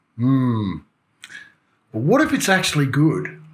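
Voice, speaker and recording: This man's voice is somewhat breathy. He speaks with an Australian accent. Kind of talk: motorcycle news commentary to camera. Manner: casual, joking.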